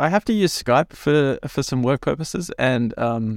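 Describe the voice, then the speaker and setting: Captured in a dry, close sound with no echo, a man with a normal speaking voice talks at a moderate pace in a fairly high pitch with lively intonation. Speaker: podcast co-host. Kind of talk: casual chat. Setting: remote recording, virtual room.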